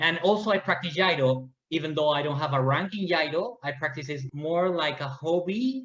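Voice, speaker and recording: A man with a Spanish accent, a fairly high pitch, ordinary pitch variation and a fairly quick pace. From Peru, Lima. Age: 30s. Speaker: martial arts athlete. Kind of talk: interview. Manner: halting.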